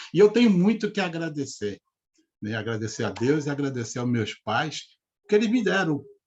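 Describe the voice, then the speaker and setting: At a moderate pace, a man with a fairly high, somewhat breathy voice speaks with very wide pitch swings. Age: 60s. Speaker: retired bank manager and speaker on money. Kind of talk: live interview talk. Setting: live video stream.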